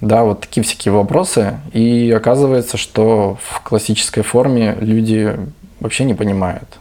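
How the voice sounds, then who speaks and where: Dark and mellow in tone, a man's medium-pitched voice moves at a moderate pace. His intonation is fairly even. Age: 30s. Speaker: entrepreneur. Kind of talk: casual interview.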